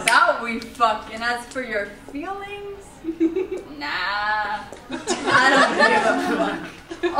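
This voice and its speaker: Noticeable background noise behind a woman's voice. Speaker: spoken word poet. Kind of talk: spoken word poetry performance. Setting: live open mic at a college.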